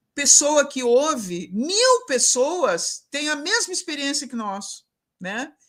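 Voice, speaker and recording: A woman with a high pitch speaks in a raised, projected voice. Her pace is very slow and her tone bright and sharp. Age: 60s. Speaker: professor and event mediator. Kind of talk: closing remarks in a live online panel. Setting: live broadcast event.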